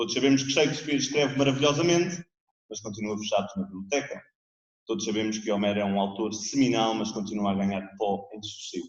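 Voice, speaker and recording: Lively intonation marks this man's speech at a medium pitch. He talks at a very fast pace with a European Portuguese accent. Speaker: theatre director presenting a book. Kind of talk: book presentation speech. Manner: formal.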